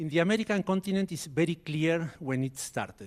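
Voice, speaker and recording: The man talks with an Argentine accent. His pace is moderate and his pitch variation ordinary. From Argentina. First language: Spanish. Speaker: biologist. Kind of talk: conference talk.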